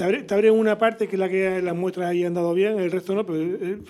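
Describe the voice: Talking at a fast pace, a man with a high pitch has a slightly mellow tone and fairly even intonation.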